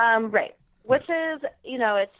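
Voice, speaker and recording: A woman is speaking. Her pace is fairly slow. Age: young. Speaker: elite marathon and obstacle course runner. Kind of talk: casual interview. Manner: hesitant, many fillers.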